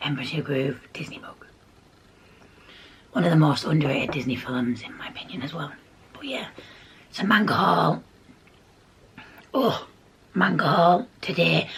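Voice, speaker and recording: Moderate pacing with long, frequent pauses over noticeable background noise. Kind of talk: casual talk to camera.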